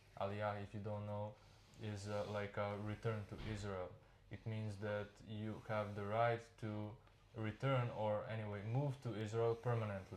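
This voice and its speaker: Speaking in a Serbian accent, a man with a fairly low pitch keeps a monotone, flat intonation at a moderate pace. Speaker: immigrant worker. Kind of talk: interview. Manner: halting.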